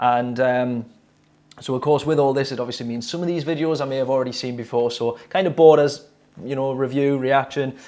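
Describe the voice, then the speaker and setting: A man with a Geordie accent speaks at a very fast pace with fairly even intonation. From northern England, Newcastle. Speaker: drummer reacting to music videos. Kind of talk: casual video commentary. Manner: hesitant, many fillers.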